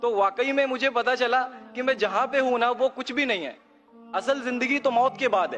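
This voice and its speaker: His voice is pitched extremely high. A man is the one talking. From India, eastern Uttar Pradesh (Kanpur). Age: 20s. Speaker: audience member. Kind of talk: testimony.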